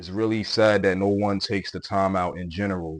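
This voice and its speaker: In a strong Brooklyn accent, the voice holds a monotone, flat intonation. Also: man. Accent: thick Brooklyn. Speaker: podcast host. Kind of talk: casual monologue. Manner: repetitive, hesitant with fillers.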